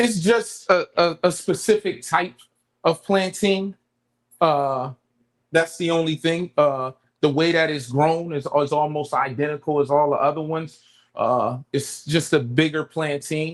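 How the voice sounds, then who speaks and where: An unremarkable speaking voice from a man with an American accent, fairly high pitch, ordinary pitch variation and a fairly slow pace. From New Jersey, Camden. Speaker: cook. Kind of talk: cooking demonstration.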